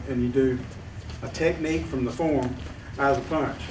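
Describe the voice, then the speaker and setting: Fairly high male voice at a fairly quick pace, with audible room echo and noticeable background noise. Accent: Southern US. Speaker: martial arts instructor. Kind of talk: hands-on class instruction.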